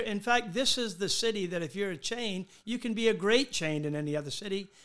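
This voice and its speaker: In a Southern US accent, a man speaks in a high voice with ordinary pitch variation. His fairly quick delivery has hardly any pauses. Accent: US South. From Charleston, South Carolina. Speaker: hotel owner. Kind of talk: interview. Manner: halting.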